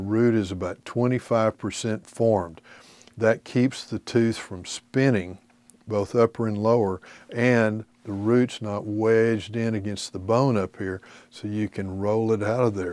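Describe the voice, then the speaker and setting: A man's unremarkable speaking voice, fairly low-pitched with fairly even intonation, in a dry sound with no echo. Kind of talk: lecture. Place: studio.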